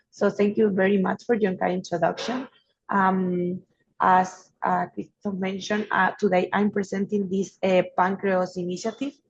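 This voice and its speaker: Somewhat breathy and medium in pitch, a woman speaks at a moderate pace in a flat monotone. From Spain. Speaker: researcher. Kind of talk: presentation.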